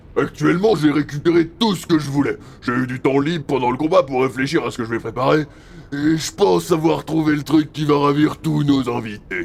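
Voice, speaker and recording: Someone performs a put-on character voice at a fairly quick pace over clear background noise. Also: man, fairly high pitch for a man. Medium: audio drama. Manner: blunt, casual, macho.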